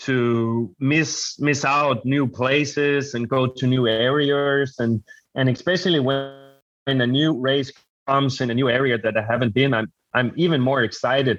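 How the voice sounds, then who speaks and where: A man with a Danish accent, a moderate pace, very even loudness and fairly even intonation. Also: medium pitch for a man. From Denmark. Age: 30s. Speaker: adventure racer. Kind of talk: interview. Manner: halting.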